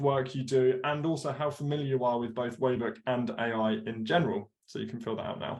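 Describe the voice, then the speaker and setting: The speaker is a man whose voice is somewhat breathy. His pitch varies in an ordinary way. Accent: British. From UK. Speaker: product webinar host. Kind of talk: product webinar presentation. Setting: live webinar. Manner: animated.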